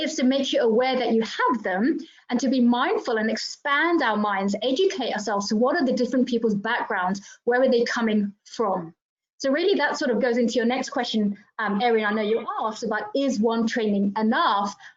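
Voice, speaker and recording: A woman's high voice with a British accent, a fairly quick pace, ordinary pitch variation and very even loudness. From England (grew up in UK, Indian Assamese heritage). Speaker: diversity trainer, panelist. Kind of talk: panel discussion.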